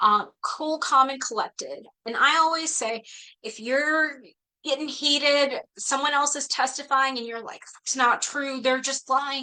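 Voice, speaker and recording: Speaking in a raised, projected voice with a bright, sharp tone, a woman talks at a fairly slow pace in a high pitch, keeping her intonation fairly even. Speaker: attorney presenting legal information. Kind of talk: webinar presentation.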